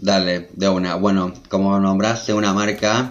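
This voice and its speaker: A man with an unremarkable speaking voice, fairly low in pitch, at a moderate pace with fairly even intonation. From Argentina, Buenos Aires province. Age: 20s. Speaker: fashion designer. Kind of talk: interview conversation. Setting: video call.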